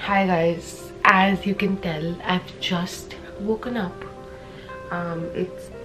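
With clear music in the background, the speaker talks at a very slow pace in a flat, monotone intonation. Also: woman. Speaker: vlogger. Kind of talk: casual vlog chat. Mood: self-mocking, playful. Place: home room. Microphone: phone near.

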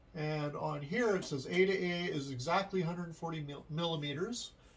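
A man speaks with a high pitch and ordinary pitch variation. Music plays in the background. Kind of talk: tutorial. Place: home room. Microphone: phone near.

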